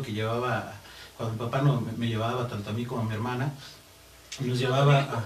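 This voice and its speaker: A man is speaking. Audible room echo and noticeable background noise are in the recording. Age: 30s. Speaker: singer and guitarist. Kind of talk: interview.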